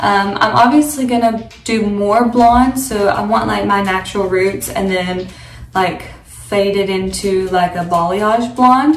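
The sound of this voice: Medium pitch from a woman, fairly slow and fairly even in intonation, with audible room echo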